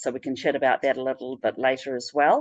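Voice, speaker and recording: In a New Zealand accent, a woman with a very deep, low pitch speaks in a monotone, flat way, with a dry, close sound with no echo and a quiet background. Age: 60s. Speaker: spiritual practitioner. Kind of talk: interview. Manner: halting.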